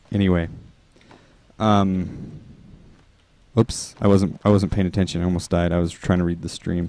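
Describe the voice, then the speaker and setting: A man with an American accent speaks in a very deep, low pitch with a dark, mellow tone and fairly even intonation. His pace is moderate with long, frequent pauses, and the sound is dry with no echo. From northern Utah. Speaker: game developer streamer. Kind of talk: casual live stream chat. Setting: live stream while playing. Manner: casual, halting with fillers. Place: home room.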